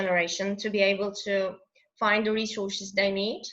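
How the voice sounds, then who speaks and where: A woman speaks with a non-native accent at a moderate pace. Her tone is bright and sharp. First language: not English. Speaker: English teacher. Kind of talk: interview answer.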